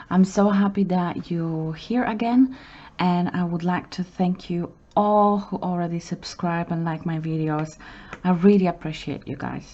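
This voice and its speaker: A woman speaks in a normal speaking voice with fairly low pitch. Her pace is fairly slow and her intonation fairly even. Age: 30s. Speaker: budgeting vlogger. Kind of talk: casual talk to camera. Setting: home, city traffic noise in background.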